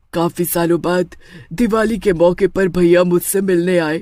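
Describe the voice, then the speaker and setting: A put-on character voice at a middle pitch goes along at a moderate pace. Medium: read story.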